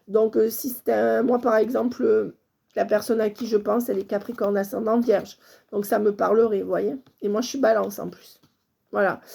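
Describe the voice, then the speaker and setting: A woman with a fairly high pitch, vocal fry and a dark, mellow tone talks at a moderate pace in a monotone, flat intonation. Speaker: medium, tarot reader. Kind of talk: channelled guidance reading to viewers.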